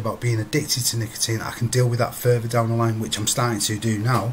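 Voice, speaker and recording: Someone with a British accent talks at a very fast pace. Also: man. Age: 50s. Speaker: vlogger quitting smoking. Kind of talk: personal video diary. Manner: halting, repetitive.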